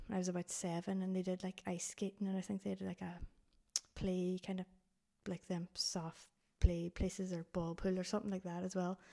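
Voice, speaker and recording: A woman with a Donegal accent, medium pitch, a dark, mellow tone, a fairly quick pace and monotone, flat intonation. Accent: Donegal Irish. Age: 30s. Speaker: blind hiker. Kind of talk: casual interview.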